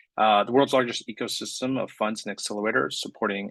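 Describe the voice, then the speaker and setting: A man speaks with a Californian accent in a dry, close recording with no echo. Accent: Californian American. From US West Coast, San Francisco Bay Area. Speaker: climate accelerator program director. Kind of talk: panel presentation.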